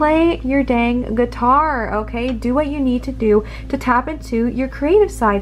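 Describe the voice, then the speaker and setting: A woman talks fairly slowly while noticeable background noise continues behind her. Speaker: tarot reader. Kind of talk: tarot reading. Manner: animated.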